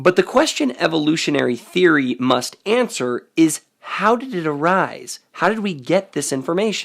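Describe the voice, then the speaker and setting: Speaking at a moderate pace with hardly any pauses, a man with a high pitch makes very wide pitch swings. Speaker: science-skeptic video essayist. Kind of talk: explanatory monologue. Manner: measured, formal.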